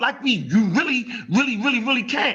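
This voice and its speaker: A man's raised, projected voice, animated in tone, at a moderate pace with ordinary pitch variation. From US. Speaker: online discussion host. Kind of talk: casual debate chat.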